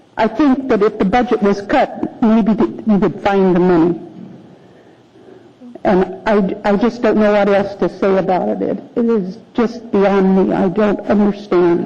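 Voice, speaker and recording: A woman at a fairly slow pace, with very even loudness, ordinary pitch variation and noticeable background noise. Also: medium pitch for a woman. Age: 70s. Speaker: public commenter at city assembly. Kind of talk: public testimony. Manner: halting.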